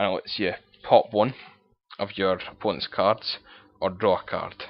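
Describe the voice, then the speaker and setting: The speaker has a strong Scottish accent. The pace is moderate. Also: man. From Scotland. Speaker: card game player. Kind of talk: casual deck profile talk to camera.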